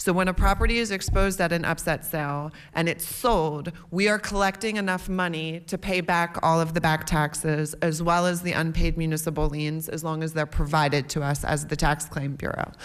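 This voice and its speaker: A woman with an American accent speaks at a fairly quick pace with hardly any pauses. Her pitch sits fairly low and her intonation stays fairly even. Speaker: county tax claim bureau director. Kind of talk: testimony. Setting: committee hearing. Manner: loud; fast.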